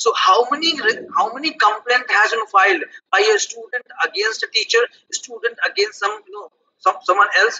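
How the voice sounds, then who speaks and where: A man with an extremely high pitch talks at a moderate pace with lively intonation and big swings in loudness. Light background noise is present. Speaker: law professor. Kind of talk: panel discussion. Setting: video call. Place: office. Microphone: headset.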